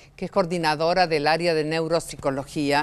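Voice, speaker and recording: Speaking at a moderate pace, the woman has a fairly low pitch. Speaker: TV host. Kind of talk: TV talk show interview.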